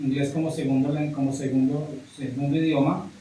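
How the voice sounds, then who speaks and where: A man speaks at a fairly high pitch with a monotone, flat intonation. Noticeable background noise and audible room echo fill the recording. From US, New York (Brooklyn). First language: English (speaking Spanish). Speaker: English teacher. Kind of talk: interview. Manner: halting, with fillers and repetitions.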